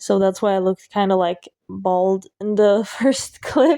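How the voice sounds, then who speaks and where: A woman's medium-pitched voice, dark and mellow in tone, at a moderate pace, with a dry, close sound and no echo. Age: 18. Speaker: student and singer vlogger. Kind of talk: voiceover vlog narration. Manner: casual, filler-heavy.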